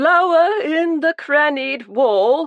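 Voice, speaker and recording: A man performs a put-on character voice at an extremely high pitch. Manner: fluttery, affected, delicate.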